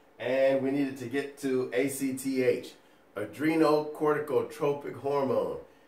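Noticeable background noise and audible room echo surround a man's voice. His intonation is fairly even. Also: fairly high pitch for a man, moderate pace. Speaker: nursing educator. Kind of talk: lecture. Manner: casual, conversational.

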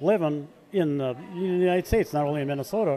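The tone is slightly mellow, with ordinary pitch variation. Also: man.

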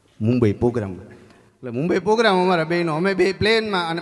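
Speaking with lively intonation, a man's voice sits high in pitch. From Gujarat, India. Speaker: comedian. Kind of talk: stand-up. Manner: animated.

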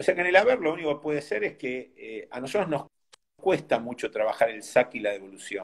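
Over a quiet background, the speech rushes at a very fast pace with very wide pitch swings, big swings in loudness and vocal fry. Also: man, fairly high pitch for a man. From Argentina. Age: 60s. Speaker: tennis coach; tennis coach, interview guest. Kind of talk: interview. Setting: video call. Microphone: phone near.

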